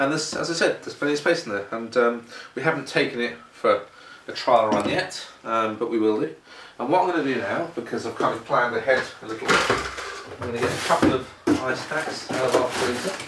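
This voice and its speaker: A man at medium pitch talks at a fairly quick pace with ordinary pitch variation. Noticeable background noise is present. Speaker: product reviewer. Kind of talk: casual product review to camera. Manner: hesitant, conversational.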